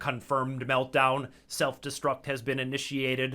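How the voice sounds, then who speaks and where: Robotic and flat in intonation, a man's put-on character voice holds a medium pitch at a moderate pace on a very clean recording with a silent background. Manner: announcement-like, emotionless.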